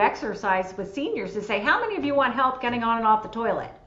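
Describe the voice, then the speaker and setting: Speaking at a very fast pace, a woman has a fairly high pitch and ordinary pitch variation. Noticeable background noise and audible room echo fill the recording. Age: 60s. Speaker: senior care expert. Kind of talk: panel discussion.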